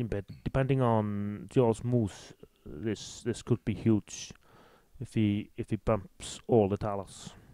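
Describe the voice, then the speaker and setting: With an Icelandic accent and a dark, mellow tone, the voice moves at a fairly slow pace. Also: man, dry, close sound with no echo. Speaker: game commentator. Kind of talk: live commentary.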